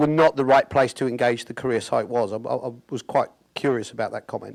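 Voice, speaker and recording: A man with a British accent talks at a fairly quick pace, his medium pitch held in fairly even intonation. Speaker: audience member asking a question. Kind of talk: audience question. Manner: halting, many repetitions.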